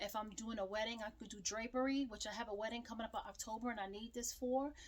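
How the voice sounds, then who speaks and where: Fairly high-pitched and very fast, a woman talks in a monotone, flat intonation. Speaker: small business owner and crafter. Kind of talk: tutorial. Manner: loud; casual, chatty.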